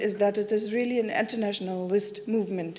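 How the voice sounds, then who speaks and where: A woman talks at a moderate pace in a fairly high pitch. The room echo is audible. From Germany. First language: German. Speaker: activist speaker. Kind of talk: conference talk. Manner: halting.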